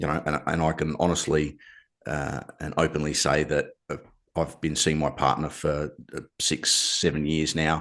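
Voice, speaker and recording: At a moderate pace, a man speaks in a very deep, low voice with vocal fry and monotone, flat intonation. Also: quiet background. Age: 60s. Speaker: podcast host. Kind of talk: interview.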